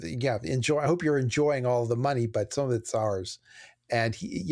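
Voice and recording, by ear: A quiet background, ordinary pitch variation, and reading aloud in a natural voice.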